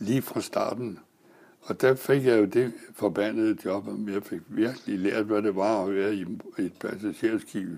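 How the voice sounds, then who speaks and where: Fairly even in intonation and fairly low in pitch, a man speaks very slowly. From Denmark, Næstved (Zealand). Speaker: retired sailor. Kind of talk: life story interview. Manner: halting, many fillers.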